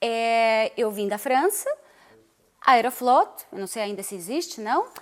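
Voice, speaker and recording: A woman speaks in a fairly high voice. Her intonation is lively. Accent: Russian. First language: Russian (speaking Portuguese). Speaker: dancer and TV/radio presenter. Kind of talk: interview.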